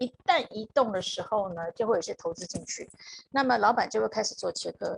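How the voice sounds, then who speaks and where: A woman speaks with ordinary pitch variation. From Taiwan. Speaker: HR consultant. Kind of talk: live-stream interview.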